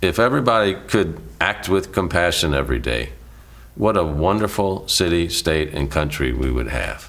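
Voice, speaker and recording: At a moderate pace, a man speaks with a very deep, low pitch, very wide pitch swings and vocal fry. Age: 60s. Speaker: former city mayor. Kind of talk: interview.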